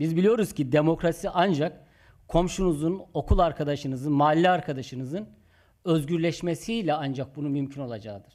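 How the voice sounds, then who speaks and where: A man with a fairly high pitch and ordinary pitch variation at a fairly quick pace, on a very clean recording with a silent background. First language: Zazaki (Kirmanjki) (speaking Turkish). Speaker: community organization leader. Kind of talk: conference speech.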